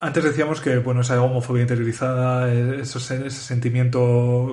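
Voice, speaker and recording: Against a quiet background, a man with a medium pitch speaks in a somewhat breathy voice with monotone, flat intonation. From Spain. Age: 30s. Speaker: podcast host. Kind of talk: casual interview chat.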